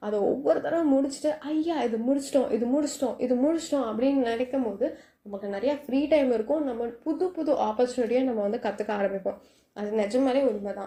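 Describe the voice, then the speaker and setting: A soft-spoken woman with a high pitch, a dark, mellow tone and ordinary pitch variation. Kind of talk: casual night talk to listener. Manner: soft, friendly.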